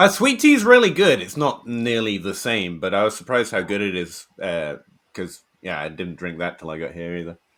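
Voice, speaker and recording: A man with an English accent speaks at a fairly quick pace, his loudness swinging widely. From England, Shropshire. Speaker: fantasy football writer and podcaster. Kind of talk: podcast interview.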